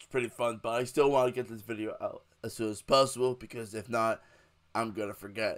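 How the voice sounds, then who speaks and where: A man with a medium-pitched voice talks at a fairly quick pace in a monotone, flat intonation. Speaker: gaming YouTuber. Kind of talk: casual tutorial. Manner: casual, filler-heavy.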